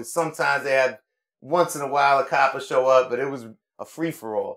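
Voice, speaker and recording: Someone speaks at a fairly quick pace in a New York accent. The recording is very clean with a silent background. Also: man. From New York City, Upper West Side of Manhattan. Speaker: rapper and visual artist. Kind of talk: casual interview chat.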